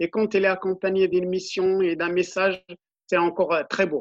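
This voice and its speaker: A flat, monotone delivery at a moderate pace, dry and close with no echo. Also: man. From Morocco, Middle Atlas. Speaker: ultra-runner. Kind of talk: interview.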